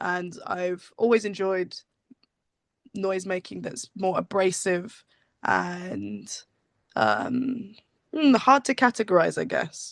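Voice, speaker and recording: A woman with a West Country accent speaks at a medium pitch. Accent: West Country English (Bristol). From England, Bristol. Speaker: musician. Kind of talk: casual interview. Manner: halting.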